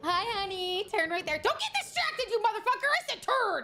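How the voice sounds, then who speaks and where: A woman puts on a character voice at an extremely high pitch. She speaks at a fairly quick pace. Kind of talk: sweet then scolding. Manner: irritated, scolding.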